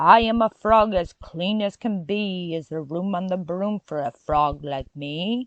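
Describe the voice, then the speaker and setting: A woman puts on a croaky character voice at medium pitch. She speaks at a fairly slow pace with hardly any pauses. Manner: polite, cheerful.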